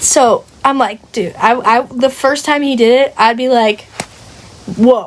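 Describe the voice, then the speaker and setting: Speaking fairly slowly with long, frequent pauses, a woman uses a high pitch and an animated tone. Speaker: book club member. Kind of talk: casual chat.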